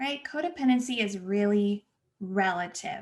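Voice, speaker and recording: A woman with an American accent, fairly high-pitched and somewhat breathy, with lively intonation. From Los Angeles, US West Coast. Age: 30s. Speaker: podcast host, therapist. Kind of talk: solo podcast monologue. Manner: casual, chatty.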